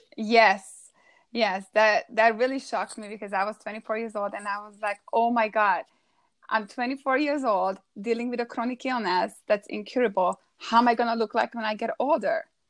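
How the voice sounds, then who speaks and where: With a Hungarian accent, a woman speaks at a moderate pace and fairly high pitch, with ordinary pitch variation and big swings in loudness, the sound dry and close with no echo. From Hungary. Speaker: holistic food coach. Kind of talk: interview, personal story. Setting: live stream broadcast.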